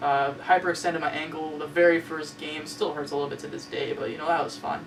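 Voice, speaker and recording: Noticeable background noise under fairly quick talking. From Ontario, Canada. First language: Spanish. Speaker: web series host. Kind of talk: personal storytelling monologue. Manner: casual, hesitant with many fillers.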